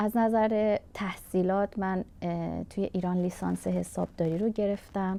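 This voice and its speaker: A woman speaks at a fairly slow pace. She hardly pauses at all. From Iran, Kurdish family. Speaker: refugee craftswoman. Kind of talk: interview testimony.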